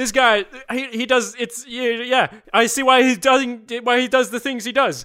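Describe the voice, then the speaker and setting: A man projects his raised voice at an extremely high pitch, bright and sharp in tone yet monotone and flat. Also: moderate pace. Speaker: podcast co-host. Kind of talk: casual chat.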